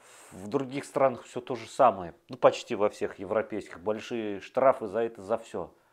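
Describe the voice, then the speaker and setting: A man at a moderate pace with ordinary pitch variation over a quiet background. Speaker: video blogger. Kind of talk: monologue to camera. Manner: animated. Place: home room. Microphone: lapel.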